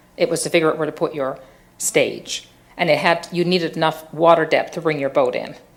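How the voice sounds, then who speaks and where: A woman with a Newfoundland accent talks at a fairly quick pace and a fairly low pitch in a flat monotone. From Newfoundland, Fogo Island. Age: 60s. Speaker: social entrepreneur. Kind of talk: public lecture. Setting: theatre stage with audience.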